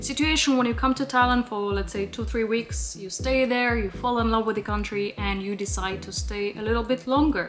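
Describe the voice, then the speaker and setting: A woman talks fairly quickly. Behind her there is noticeable background noise. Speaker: travel vlogger. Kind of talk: vlog talk to camera. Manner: casual, chatty.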